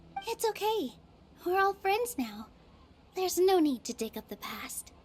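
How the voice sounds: A woman's put-on character voice, extremely high in pitch with big pitch swings, a slightly mellow tone and a fairly slow pace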